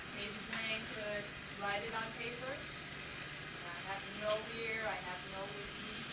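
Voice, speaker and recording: A woman talks at a very slow pace over loud background noise. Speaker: teacher of deaf students. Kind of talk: classroom teaching while signing. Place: classroom. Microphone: old recording.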